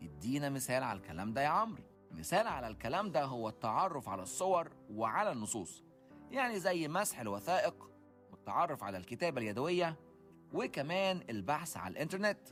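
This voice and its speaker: With music in the background, a man with an Egyptian accent speaks at a moderate pace in a fairly high pitch, his voice making very wide pitch swings. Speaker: podcast host. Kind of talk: educational podcast talk.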